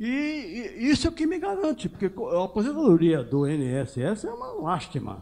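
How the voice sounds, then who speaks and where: Speaking at a fairly quick pace, a man uses a high pitch with very wide pitch swings. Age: 80s+. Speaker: audience member, retired bank worker. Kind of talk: audience question at a talk.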